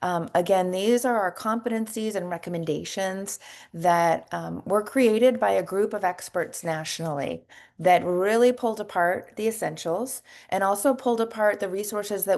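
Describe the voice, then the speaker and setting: A woman with a normal speaking voice and ordinary pitch variation is heard against a quiet background. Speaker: nursing educator. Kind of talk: webinar presentation.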